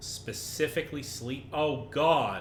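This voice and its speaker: This man talks with ordinary pitch variation. There is noticeable background noise and audible room echo. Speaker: gaming streamer. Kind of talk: live gameplay commentary. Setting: livestream.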